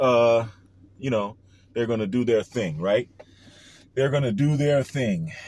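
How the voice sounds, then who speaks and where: The pace is fairly slow, with long, frequent pauses. Pitch varies in an ordinary way. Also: man, medium pitch for a man. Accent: New Orleans. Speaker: online commentator. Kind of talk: casual monologue vlog. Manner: casual, hesitant with fillers.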